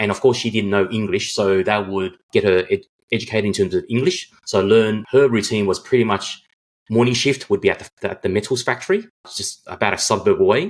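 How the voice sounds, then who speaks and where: Fairly quick and fairly low-pitched, a man speaks in an Australian accent. His pitch variation is ordinary. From Australia, Sydney. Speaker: guest telling life story. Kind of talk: interview.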